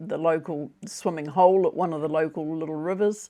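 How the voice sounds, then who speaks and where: Speaking in a New Zealand accent over a quiet background, a woman has a dark, mellow tone, a moderate pace and ordinary pitch variation. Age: 70s. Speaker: retiree vlogger. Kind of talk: casual monologue. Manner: halting with fillers and repetitions.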